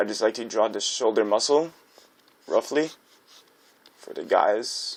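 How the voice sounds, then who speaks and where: This man speaks at a fairly slow pace. His pitch is medium. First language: not English. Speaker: art tutorial creator. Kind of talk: tutorial. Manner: casual, halting with fillers.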